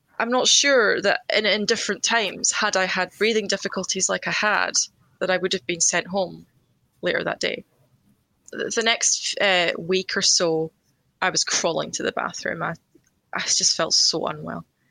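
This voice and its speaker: A woman speaks with a Scottish accent. The recording is very clean, with a silent background and a dry, close sound with no echo. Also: moderate pace. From Scotland, Edinburgh. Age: 30s. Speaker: COVID patient. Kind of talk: testimony.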